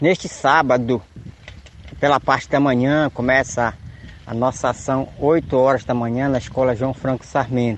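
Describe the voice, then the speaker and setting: Noticeable background noise sits behind a man speaking at medium pitch and a moderate pace. His loudness is very even and his intonation fairly even. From Tapajós river, Pará, Brazil. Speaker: community leader. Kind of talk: radio announcement.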